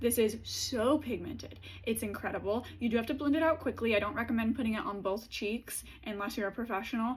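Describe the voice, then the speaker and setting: Her voice is fairly high-pitched and somewhat breathy as this woman talks at a very fast pace. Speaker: beauty content creator. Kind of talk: product review monologue. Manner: animated.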